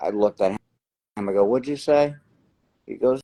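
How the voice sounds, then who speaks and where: This is a man speaking with a New Jersey accent. The sound is dry and close, with no echo. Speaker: lottery winner. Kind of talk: interview.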